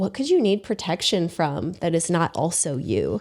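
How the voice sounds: A booming put-on character voice at a middle pitch and a moderate pace.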